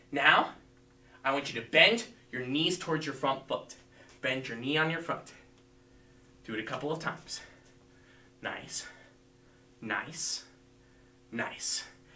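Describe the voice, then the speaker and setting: A man with a bright, sharp tone, fairly high pitch, ordinary pitch variation, fairly slow pace, long, frequent pauses and audible room echo. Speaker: martial arts instructor. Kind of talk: live-streamed fitness class instruction. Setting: livestream video class. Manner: loud.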